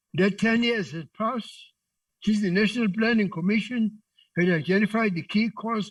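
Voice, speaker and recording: This man speaks at a moderate pace. His pitch is high with ordinary variation. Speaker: politician, member of parliament. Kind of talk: parliamentary speech.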